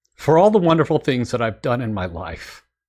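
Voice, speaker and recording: On a very clean recording with a silent background, a man with vocal fry speaks at a medium pitch, swinging very widely in pitch. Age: 60s. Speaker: musician and producer reacting to music. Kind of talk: reaction video commentary. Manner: reflective, somewhat halting with fillers.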